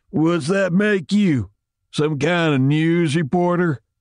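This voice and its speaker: Putting on a character voice, a man speaks at a fairly slow pace in a high pitch with ordinary pitch variation. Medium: read story. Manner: menacing, taunting.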